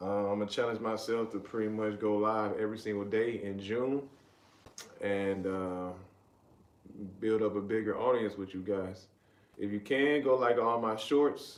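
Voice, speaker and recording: Long, frequent pauses mark this moderately paced speech in an American accent with fairly even intonation. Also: man, fairly low pitch for a man. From US South, Riverdale, Georgia (south Atlanta). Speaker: live streamer. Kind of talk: casual live stream chat. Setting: live stream.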